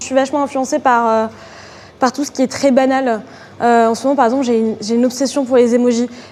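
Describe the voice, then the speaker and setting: Noticeable background noise sits behind a woman speaking at a fairly quick pace. Her high-pitched voice stays monotone and flat. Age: 20s. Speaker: art student. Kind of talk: interview. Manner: hesitant, many fillers.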